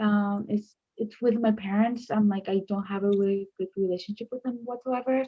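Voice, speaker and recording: In an American accent, a woman with a fairly high pitch speaks at a moderate pace, somewhat breathy and flat in a monotone, with hardly any pauses. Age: 20s. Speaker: grief group member. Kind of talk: testimony. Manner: halting.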